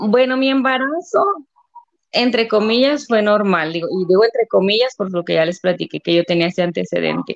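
With a plain, everyday voice, a woman speaks at a moderate pace and a medium pitch, her intonation lively. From Mexico, Delicias, Chihuahua. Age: 30s. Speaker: stay-at-home mother of a child with a rare syndrome. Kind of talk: interview testimony.

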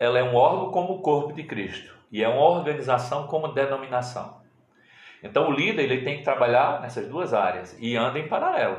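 A man with a plain, everyday voice talks at a fairly quick pace, his fairly high pitch rising and falling in lively intonation. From Pernambuco sertão, Brazil. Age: 50s. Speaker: pastor. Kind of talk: interview, casual chat.

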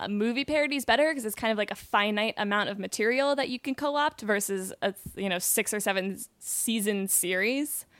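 An ordinary speaking voice with ordinary pitch variation, captured in a very clean recording with a silent background and a dry, close sound with no echo. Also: woman. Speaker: comedy writer. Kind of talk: casual chat. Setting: studio.

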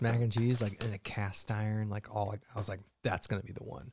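The voice is a man's. Nothing can be heard behind him on this very clean recording. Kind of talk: casual chat. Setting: live stream. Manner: loud.

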